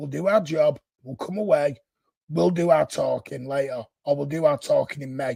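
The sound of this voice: This man has a fairly high pitch, a dark, mellow tone and a slightly husky edge. Vocal fry runs through his voice.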